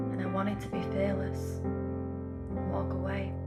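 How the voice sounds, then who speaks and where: Music can be heard behind the voice. The speaker is a woman. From Northern England. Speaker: poet. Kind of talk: spoken word poetry reading.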